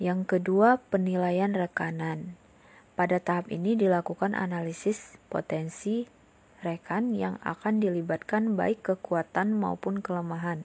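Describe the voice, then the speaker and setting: In a plain, everyday voice, a woman speaks at a fairly slow pace in a medium pitch with fairly even intonation, the sound dry and close with no echo. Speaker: university student. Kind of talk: class presentation. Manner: formal.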